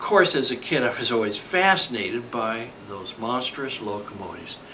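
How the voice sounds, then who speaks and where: With an American accent, a man talks at a moderate pace and swings his pitch very widely, with noticeable background noise and audible room echo. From California, US. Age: 60s. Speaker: model railroader. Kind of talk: scripted narration.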